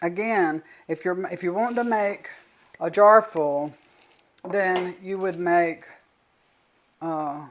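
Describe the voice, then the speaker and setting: A woman with a Southern US accent speaks at a very slow pace, leaving long, frequent pauses. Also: fairly low pitch for a woman, ordinary pitch variation. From US South. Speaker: cooking channel host. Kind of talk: tutorial. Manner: casual.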